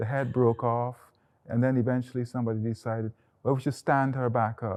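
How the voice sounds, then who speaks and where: Over a quiet background, a man talks at a very fast pace, his medium pitch held in fairly even intonation. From Guyana (Georgetown). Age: 60s. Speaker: artist. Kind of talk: gallery tour conversation. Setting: in a museum exhibition.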